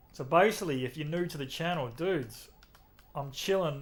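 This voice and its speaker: In an Australian accent, a man talks with lively intonation at a fairly high pitch. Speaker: gaming streamer. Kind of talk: live game stream chat. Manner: casual, relaxed.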